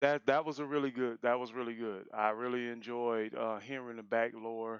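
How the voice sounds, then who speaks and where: A man speaking at a medium pitch. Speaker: anime reaction youtuber. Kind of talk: reaction commentary. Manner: halting, many fillers.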